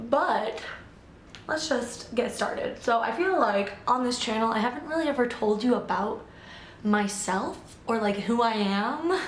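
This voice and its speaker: A woman speaks at a fairly slow pace with an American accent, her pitch fairly high and its variation ordinary. Room echo is audible, and background noise is noticeable. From US Midwest, Illinois. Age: 20s. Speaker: vlogger. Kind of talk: casual chat. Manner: rambling casual with fillers.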